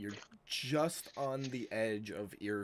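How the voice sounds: A natural reading voice is heard here.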